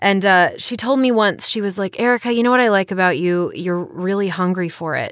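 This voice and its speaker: A woman speaks in an ordinary speaking voice with an American accent, at medium pitch and ordinary pitch variation. Her pace is moderate, on a very clean recording with a silent background. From rural North Carolina. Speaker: voice actor. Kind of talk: casual chat. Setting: recording booth.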